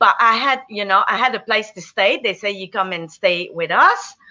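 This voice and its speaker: Bright, sharp tone from a woman with a French Canadian accent, medium in pitch, over a quiet background. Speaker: business owner. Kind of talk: interview testimony.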